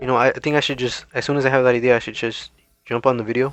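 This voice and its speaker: This is a man's voice at medium pitch. His intonation stays fairly even. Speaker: gaming commentary youtuber. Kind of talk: casual commentary monologue. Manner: fast, rambling; halting, repeats words.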